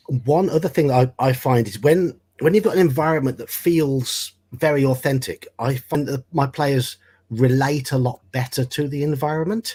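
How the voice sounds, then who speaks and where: At a moderate pace, a man speaks in a dark, mellow tone that is somewhat breathy, on a very clean recording with a silent background. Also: fairly high pitch for a man, ordinary pitch variation. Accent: British. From Britain. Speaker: tabletop game master. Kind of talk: casual chat.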